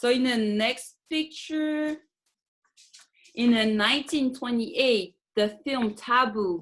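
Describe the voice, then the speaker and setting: Very slowly and with long, frequent pauses, a woman talks in a high pitch with ordinary pitch variation. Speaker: lecturer on Tahitian dance costumes. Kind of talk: presentation. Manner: halting, non-fluent English.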